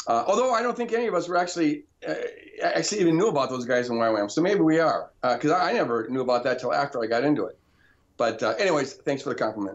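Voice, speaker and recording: A man's fairly high voice at a very fast pace, with very wide pitch swings. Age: 60s. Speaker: pastor and author. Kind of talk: casual chat. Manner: halting.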